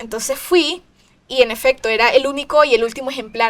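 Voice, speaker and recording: Speaking in a Nicaraguan accent, a woman goes at a fairly slow pace. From Nicaragua, Managua. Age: 20s. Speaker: singer-songwriter. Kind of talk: interview. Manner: halting.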